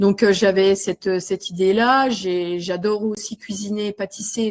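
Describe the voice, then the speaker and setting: The background is silent in this very clean recording. A woman talks at a very slow pace. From Vosges, eastern France. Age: 40s. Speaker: school support worker retraining as community manager. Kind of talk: interview testimony. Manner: hesitant, many fillers and repetitions.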